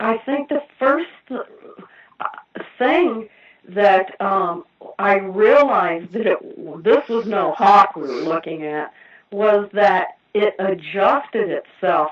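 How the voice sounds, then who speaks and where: A woman speaks with an American accent. Her pace is very slow, broken by long, frequent pauses. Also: medium pitch for a woman, lively intonation. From Indiana. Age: 60s. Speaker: eyewitness caller. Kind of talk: testimony.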